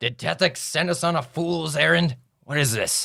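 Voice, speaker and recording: A raspy, put-on character voice from a man, fairly high in pitch, at a moderate pace. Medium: actual play. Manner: dry, offhand.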